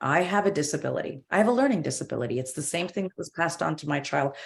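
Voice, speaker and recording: A woman's very deep, low voice at a very fast pace, with very wide pitch swings. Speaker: corporate diversity and inclusion director. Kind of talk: panel discussion.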